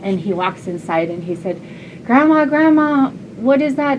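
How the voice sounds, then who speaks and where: Noticeable background noise and audible room echo fill the recording. A woman speaks at a moderate pace in a gentle tone, with lively intonation and a fairly high pitch. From southwest Alaska, Yupik region. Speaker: storyteller. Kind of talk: storytelling. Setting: classroom with audience.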